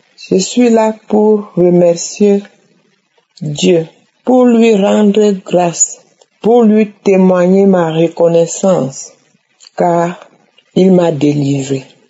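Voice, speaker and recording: The speaker goes at a very slow pace with long, frequent pauses, very even loudness, and ordinary pitch variation. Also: woman, medium pitch for a woman. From Cameroon. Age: 60s. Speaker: testimony giver. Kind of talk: testimony.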